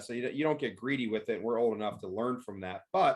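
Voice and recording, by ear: Pitch shifts in an ordinary way as a man talks at a medium pitch.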